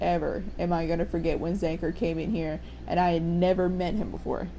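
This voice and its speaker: Audible room echo surrounds the speaker. She is a woman talking at a fairly quick pace. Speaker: game streamer. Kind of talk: casual chat while live-streaming gameplay. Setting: live stream.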